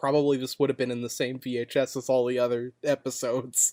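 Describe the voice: This is plain reading aloud. The text is read out just as written.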